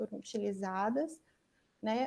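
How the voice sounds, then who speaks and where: A woman speaks with a dark, mellow tone. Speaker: academic job candidate. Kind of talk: lecture. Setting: video call.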